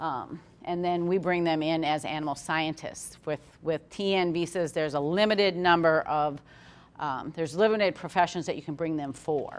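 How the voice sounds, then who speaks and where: A woman's fairly low voice at a moderate pace, fairly even in intonation, an ordinary speaking voice. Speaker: HR manager and controller at a pork farm. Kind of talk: webinar presentation.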